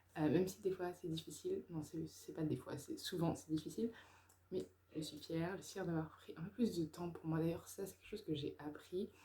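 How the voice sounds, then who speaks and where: A woman's dark, mellow, somewhat breathy voice, fairly low in pitch, with fairly even intonation and big swings in loudness. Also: fairly quick pace. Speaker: YouTuber, personal development. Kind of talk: personal vlog monologue. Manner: hesitant, many fillers.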